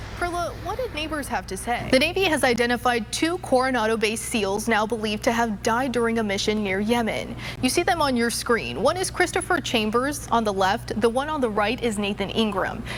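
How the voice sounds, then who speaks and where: Lively intonation at a fairly quick pace with hardly any pauses, over noticeable background noise. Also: woman, fairly high pitch for a woman. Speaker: TV news anchor, weather anchor and reporter. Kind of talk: local TV news anchor read.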